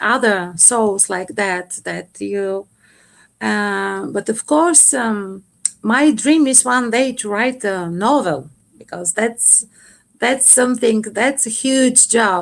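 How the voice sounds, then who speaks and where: A woman speaks with a Bulgarian accent at a very slow pace. Her pitch is fairly high and her intonation lively. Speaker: poet. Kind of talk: interview. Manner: halting.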